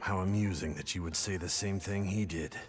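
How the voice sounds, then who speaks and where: Over music in the background, a man uses a put-on character voice with a very deep, low pitch, fairly even intonation and a fairly quick pace. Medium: video game. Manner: cold, aloof.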